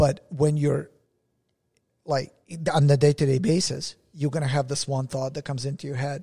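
In a very clean recording with a silent background, a man speaks at a moderate pace with long, frequent pauses, a fairly high pitch, fairly even intonation and a somewhat breathy, dark, mellow tone. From Russia. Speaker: podcast co-host. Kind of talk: casual chat.

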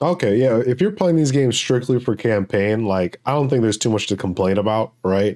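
At a fairly quick pace with hardly any pauses, a man speaks at medium pitch in a dark, mellow tone, with very even loudness and a dry, close sound with no echo. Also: ordinary pitch variation. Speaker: podcast co-host. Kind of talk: casual chat.

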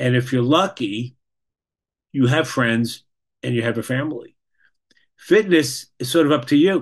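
A man with an American accent speaks at medium pitch and a moderate pace, using lively intonation. Long, frequent pauses break his speech against a quiet background. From New York. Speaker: clinical social worker. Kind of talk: presentation.

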